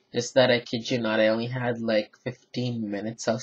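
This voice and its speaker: A man's medium-pitched, somewhat breathy voice at a moderate pace, in monotone, flat intonation. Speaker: toy reviewer. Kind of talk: product review. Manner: flat, low energy; hesitant, filler words.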